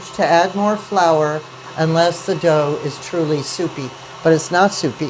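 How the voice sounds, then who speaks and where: A woman speaks at a fairly low pitch and a fairly slow pace, with ordinary pitch variation. Noticeable background noise is present. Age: 70s. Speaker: kinship caregiver, grandparent raising a grandchild. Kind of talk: interview while baking bread.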